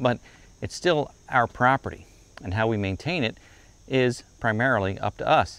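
A man's voice with ordinary pitch variation, in a dry sound with no echo. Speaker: property channel host. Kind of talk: casual vlog chat. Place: street.

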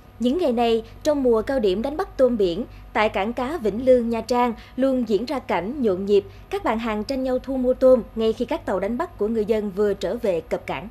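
Fairly quick and fairly high-pitched, a woman with an ordinary speaking voice talks with ordinary pitch variation. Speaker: news presenter. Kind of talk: news reading. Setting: studio.

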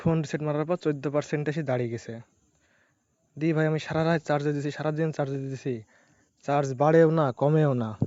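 This man is soft-spoken, with a fairly high pitch. His intonation stays monotone and flat. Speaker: gambling game streamer. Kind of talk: live gameplay commentary. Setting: at home at night, neighbours nearby. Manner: soft-spoken, speaks quietly.

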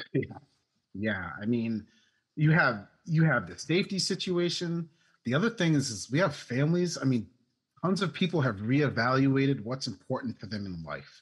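A man with an American accent, somewhat breathy and moderately paced, with very wide pitch swings, big shifts in loudness and a quiet background. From US Northeast, Maine. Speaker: remote work consultant. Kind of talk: interview conversation. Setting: remote call. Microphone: earbuds.

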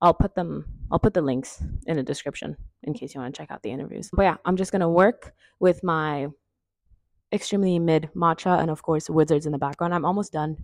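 Over a quiet background, a woman with a fairly low pitch and a plain, everyday voice talks at a fairly quick pace with big swings in loudness, and the sound is dry with no echo. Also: ordinary pitch variation. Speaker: vlogger. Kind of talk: casual vlog chat. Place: home room.

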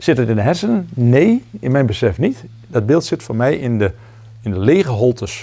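At a moderate pace, the voice has a dark, mellow tone, sounds somewhat breathy and uses lively intonation. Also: man. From Netherlands. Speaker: zen teacher. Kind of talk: dharma talk. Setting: meditation retreat with audience. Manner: halting. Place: hall.

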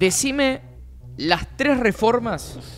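Light background noise sits under a man speaking with lively intonation. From Argentina. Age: 20s. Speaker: streaming show host. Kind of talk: casual chat. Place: studio. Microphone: studio mic.

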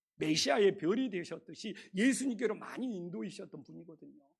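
This man speaks at a moderate pace with a high pitch. His intonation is lively. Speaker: pastor. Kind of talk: sermon.

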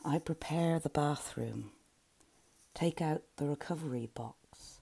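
The woman's speech unfolds at a very slow pace. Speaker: poet. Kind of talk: poem reading. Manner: slow, measured, lyrical. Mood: calm, measured, earnest. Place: home room. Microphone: earbuds.

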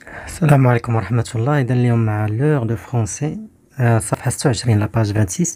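Very fast and somewhat breathy, a man speaks at a medium pitch. His tone is dark and mellow, with ordinary pitch variation. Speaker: teacher. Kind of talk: tutorial.

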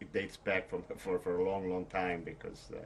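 A man's very deep, low voice. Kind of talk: interview answer. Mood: reflective, occasionally smiling. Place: home room.

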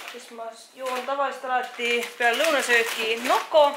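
Noticeable background noise fills this clip. Over it, a woman speaks at a high pitch. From Estonia, Viljandi; Estonia. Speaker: fitness vlogger. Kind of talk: vlog. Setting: outdoors. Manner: animated. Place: home room. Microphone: phone near.

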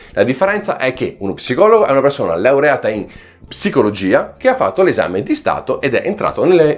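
Very rapid speech from a man amid clearly audible background noise. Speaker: YouTuber on psychology and personal growth. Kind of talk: vlog monologue to camera. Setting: at home. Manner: fluent here, edited cuts.

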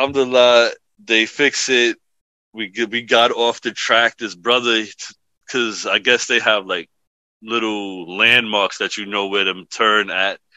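In a New York accent, a man with a medium pitch speaks at a fairly slow pace with fairly even intonation, in a dry, close sound with no echo. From The Bronx, New York. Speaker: imam. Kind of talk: podcast interview answer, storytelling. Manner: casual.

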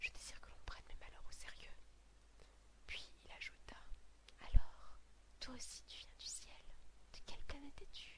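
A woman whispering at a fairly slow pace, with long, frequent pauses and big swings in loudness. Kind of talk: whispered book reading, relaxation / sleep. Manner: whispered, soft.

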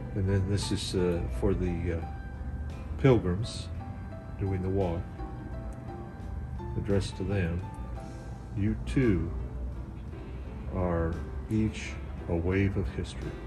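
Clear music plays in the background as the speaker talks at a very slow pace with long, frequent pauses. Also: man, very deep, low pitch for a man. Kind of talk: casual translation while sightseeing. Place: street. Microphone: phone near.

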